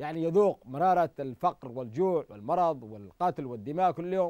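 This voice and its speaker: A man with a high voice and lively intonation, in a dry sound with no echo over a quiet background. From Yemen. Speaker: TV call-in show host. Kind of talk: political call-in show. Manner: impassioned. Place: studio. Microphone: lapel.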